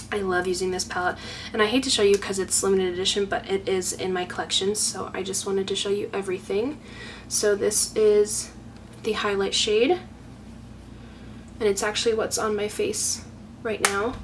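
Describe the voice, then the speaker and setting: Over noticeable background noise, a woman at a medium pitch speaks at a moderate pace with fairly even intonation and long, frequent pauses. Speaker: beauty YouTuber. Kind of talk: makeup tutorial-style product showcase.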